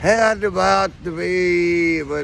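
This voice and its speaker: There is noticeable background noise as this man delivers his words at a very slow pace. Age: 60s. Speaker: homeless man. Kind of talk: casual chat. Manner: halting.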